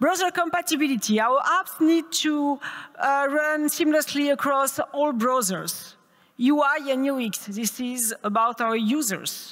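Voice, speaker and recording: A woman's high-pitched voice with a French accent, at a fairly slow pace. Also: ordinary pitch variation. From France. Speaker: tech conference speaker. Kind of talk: conference talk. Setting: stage with audience.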